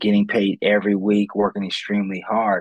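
At a moderate pace, a man talks in a fairly low voice, an unremarkable speaking voice. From Ohio, US Midwest. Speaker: motivational speaker and career counselor. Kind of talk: interview.

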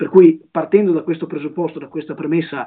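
This man talks with a high pitch. Its variation is ordinary. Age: 20s. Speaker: young politician and law student. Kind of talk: live-stream interview.

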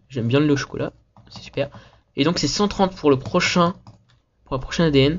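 A somewhat breathy male voice. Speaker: gaming youtuber. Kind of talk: gameplay commentary. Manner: casual, hesitant with many fillers.

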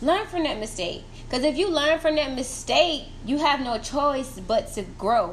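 Amid noticeable background noise and audible room echo, a woman speaks at a moderate pace and high pitch, with very wide pitch swings. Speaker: podcast host. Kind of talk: casual monologue.

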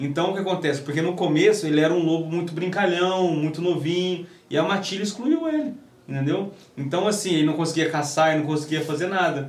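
Noticeable background noise and audible room echo surround this recording. A man with a high pitch talks at a fairly quick pace with fairly even intonation. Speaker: dog trainer. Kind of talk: casual chat.

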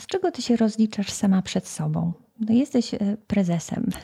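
Somewhat breathy, a woman with a dark, mellow tone speaks at a medium pitch with ordinary pitch variation. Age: 50s. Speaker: podcast host, leadership coach. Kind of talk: interview.

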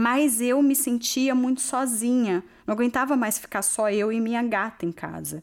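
A high-pitched woman talks at a fairly slow pace. The recording is very clean, with a silent background. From Brazil, São Paulo. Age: 30s. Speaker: immigrant hairdresser and DJ. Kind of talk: personal testimony.

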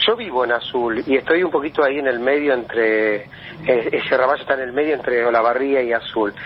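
With noticeable background noise, a man talks fairly quickly at a medium pitch, his pitch varying in an ordinary way. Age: 40s. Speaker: artist and teacher. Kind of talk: interview.

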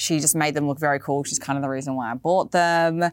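A woman with an Australian accent has a very deep, low pitch. The recording is very clean with a silent background. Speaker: fashion video podcaster. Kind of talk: casual video podcast talk about boots. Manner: chatty, animated.

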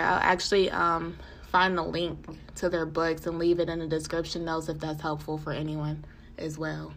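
A woman speaks at a moderate pace with a fairly low pitch. Room echo is audible. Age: 20s. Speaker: podcast host. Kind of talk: casual solo podcast monologue.

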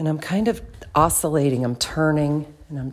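A woman speaks at a fairly slow pace with fairly even intonation and a very deep, low pitch. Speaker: movement facilitator and podcast host. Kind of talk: improvised guided movement narration. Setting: room in her house. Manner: informal, with audible breathing.

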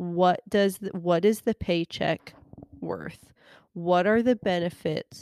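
At a very slow pace, a woman talks in a fairly low voice with fairly even intonation. The very clean recording has a silent background and a dry, close sound with no echo. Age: 30s. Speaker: podcast host and elementary teacher. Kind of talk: solo monologue podcast. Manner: conversational with frequent filler words.

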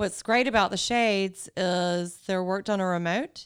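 In a very clean recording with a silent background, a woman speaks in a Southern US accent at a moderate pace, with a medium pitch and ordinary pitch variation. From US South, Greenville, South Carolina. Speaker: wedding venue owner. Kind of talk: casual chat.

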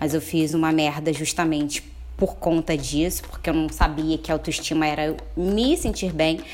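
Her pitch is very deep and low as this woman talks at a middling pace. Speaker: podcast guest. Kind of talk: casual chat.

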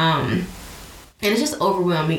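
A woman's fairly low-pitched voice at a fairly quick pace amid noticeable background noise. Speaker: podcast host. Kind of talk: casual interview chat. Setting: video call.

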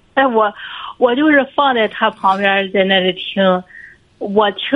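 Her pitch fairly high with ordinary pitch variation, a woman speaks at a fairly slow pace. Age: 30s. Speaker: caller. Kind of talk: call-in advice conversation. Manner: halting.

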